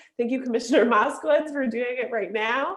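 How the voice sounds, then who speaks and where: This woman has a high-pitched voice with ordinary pitch variation. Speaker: environmental advocacy organizer. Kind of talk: closing remarks on a virtual event. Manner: fast.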